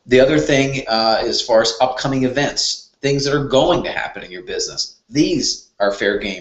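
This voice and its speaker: Audible room echo hangs around the speaker. The man's pitch sits at a medium level. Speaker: web marketing trainer. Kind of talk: tutorial. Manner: fast.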